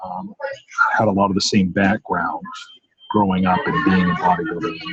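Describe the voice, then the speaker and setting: A man speaks with an American accent. He talks at a fairly quick pace. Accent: slight Maine accent, mostly suppressed. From Maine, US. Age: 40s. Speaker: strength athlete. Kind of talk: interview.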